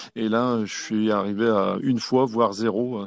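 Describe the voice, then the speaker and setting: The man's voice sits fairly low, with fairly even intonation. The sound is dry and close with no echo over a quiet background. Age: 60s. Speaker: conference participant. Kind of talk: testimony. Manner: halting.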